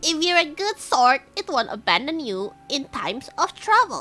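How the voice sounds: Faint music plays behind a high, put-on character voice that moves at a moderate pace with very wide pitch swings.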